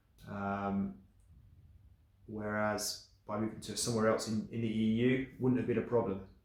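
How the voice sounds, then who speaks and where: Audible room echo surrounds a man with a fairly low pitch and monotone, flat intonation. He talks at a moderate pace, with long, frequent pauses. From England. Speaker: vlogger. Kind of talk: casual vlog monologue. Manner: hesitant, many fillers.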